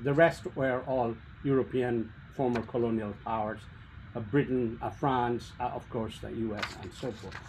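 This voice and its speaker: A somewhat breathy man at a fairly slow pace, with light background noise. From India. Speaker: policy researcher, speaker; speaker. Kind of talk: presentation. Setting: video call. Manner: halting. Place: home room. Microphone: webcam.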